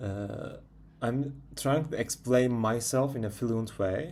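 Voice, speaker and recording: This man talks at a very slow pace in a Turkish accent. His pitch is medium, with ordinary variation. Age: 20s. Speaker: vlogger. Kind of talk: casual monologue. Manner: halting; self-correcting.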